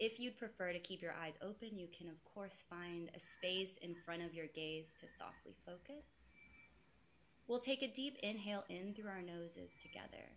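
At a moderate pace, a woman speaks in a fairly low pitch with a plain, everyday voice. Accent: American. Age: 30s. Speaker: wellness practitioner and brand consultant. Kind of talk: casual interview; guided meditation. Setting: video call.

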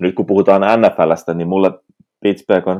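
Using an ordinary speaking voice, a man talks at a fairly slow pace in a fairly low pitch. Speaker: podcast co-host. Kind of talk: casual chat.

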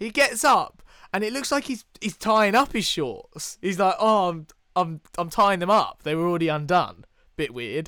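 In a British accent, a man projects a raised voice with a bright, sharp tone, high pitch and lively intonation at a moderate pace. The recording is very clean, with a silent background. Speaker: podcast co-host. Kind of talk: casual chat.

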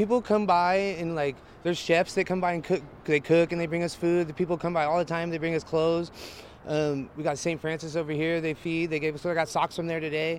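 Talking at a very fast pace, a man with a high pitch and an American accent uses ordinary pitch variation. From Northern California. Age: 30s. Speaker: homeless camp resident. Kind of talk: street interview. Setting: outdoors.

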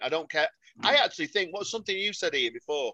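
A man speaks with a Mancunian accent. The sound is dry and close, with no echo. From Salford, Greater Manchester. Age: 50s. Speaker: football fan. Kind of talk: casual chat. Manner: animated.

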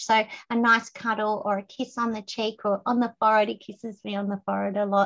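A woman at a fairly high pitch and moderate pace, over a quiet background. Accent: Australian. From Queensland, Australia. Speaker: success strategist and speaker. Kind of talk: casual interview chat. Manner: animated, storytelling.

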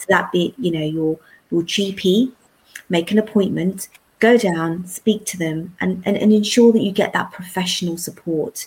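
A medium-pitched woman in a London accent, moderate pace, fairly even intonation and big swings in loudness. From South London. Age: 40s. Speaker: secondary school teacher. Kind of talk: interview.

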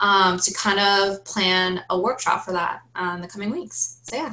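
Here is a woman with an American accent and an unremarkable speaking voice. Her pitch is medium, with ordinary variation. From Oregon, Forest Grove. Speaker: honors college student. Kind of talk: casual interview.

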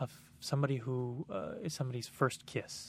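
Here a man has an ordinary speaking voice at a medium pitch. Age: 20s. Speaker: magician. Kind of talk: interview.

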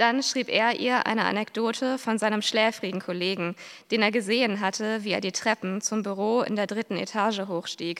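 A woman's unremarkable speaking voice, fairly high-pitched, with fairly even intonation and a moderate pace, on a very clean recording with a silent background. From western and northern Germany. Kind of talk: reading aloud.

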